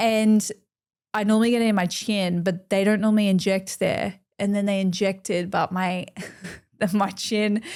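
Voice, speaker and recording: A woman of medium pitch speaks in a strong Australian accent at a moderate pace, her monotone, flat intonation and very even loudness broken by long, frequent pauses. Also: very clean recording, silent background. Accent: broad Australian. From Queensland, Australia. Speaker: makeup artist. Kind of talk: casual chat.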